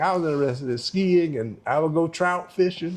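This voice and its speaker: A man with a North Carolina accent talks at a fairly quick pace in a high voice with lively intonation. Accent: Southern US (North Carolina). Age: 70s. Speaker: retired doctor. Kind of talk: interview.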